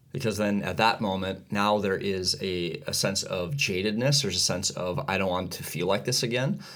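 Noticeable background noise sits behind a man with a fairly low voice. He talks at a moderate pace with ordinary pitch variation and hardly any pauses. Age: 40s. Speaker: podcast co-host. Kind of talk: casual chat.

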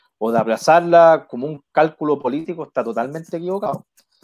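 An unremarkable speaking voice, a man's, fairly high-pitched and fairly quick, with ordinary pitch variation. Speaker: local council candidate. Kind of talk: interview.

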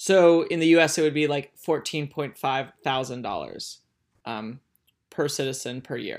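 At a moderate pace, the speech comes through in a very clean recording with a silent background. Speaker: podcast co-host. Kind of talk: casual chat, podcast discussion.

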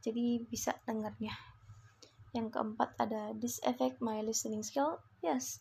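A woman's fairly high, somewhat breathy voice in an Indonesian accent, at a moderate pace, with very wide pitch swings and long, frequent pauses. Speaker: student. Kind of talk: class assignment podcast.

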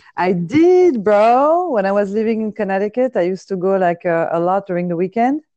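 With a French accent and a dark, mellow tone, a woman speaks in lively intonation with hardly any pauses. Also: medium pitch for a woman, moderate pace. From France. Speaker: podcaster. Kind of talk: casual chat. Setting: phone call.

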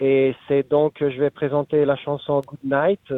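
A man speaks with an Italian accent at a fairly high pitch. His pace is fairly slow. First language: Italian (speaking French). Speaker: singer-songwriter. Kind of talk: interview. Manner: halting.

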